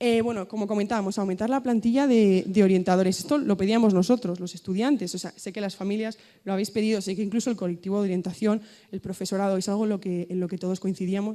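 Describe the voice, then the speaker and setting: A woman's very fast speech at medium pitch, with a dark, mellow tone and fairly even intonation, in a very clean recording with a silent background. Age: 20s. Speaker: student association leader. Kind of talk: conference talk.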